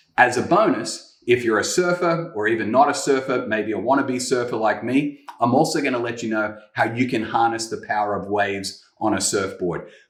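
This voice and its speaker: Enthusiastic in tone, a man with a medium pitch speaks at a moderate pace with ordinary pitch variation and hardly any pauses, his voice carrying audible room echo. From Australia. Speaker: guest preacher. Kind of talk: sermon. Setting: home kitchen.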